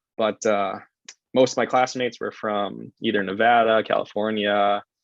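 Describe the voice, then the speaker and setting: A medium-pitched man with an American accent and monotone, flat intonation. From Chicago, US Midwest. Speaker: physical therapist. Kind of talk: podcast interview. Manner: casual, hesitant with fillers.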